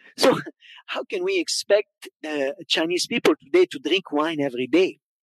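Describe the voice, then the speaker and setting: A man with a high voice talks at a fairly slow pace in a Quebec accent, his pitch swinging very widely. The sound is dry and close, with no echo. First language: French. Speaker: wine educator and consultant. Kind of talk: conference talk. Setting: stage with audience.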